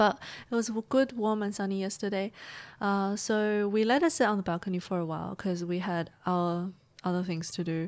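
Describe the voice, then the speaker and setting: In a normal speaking voice, the speaker goes at a moderate pace with ordinary pitch variation on a very clean recording with a silent background. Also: woman, medium pitch for a woman. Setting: Sydney, Australia.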